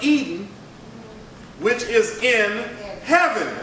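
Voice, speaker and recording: Raising and projecting his voice, a man speaks at a very slow pace. Noticeable background noise and audible room echo fill the recording. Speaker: pastor. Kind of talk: bible study teaching. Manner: conversational, interactive.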